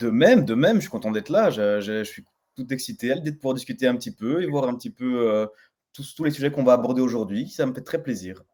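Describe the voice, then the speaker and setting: In a slight Belgian accent, the speaker races along at a very fast pace with a dark, mellow tone. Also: man, medium pitch for a man. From Belgium. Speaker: Web3 entrepreneur. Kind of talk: interview. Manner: hesitant with repetitions.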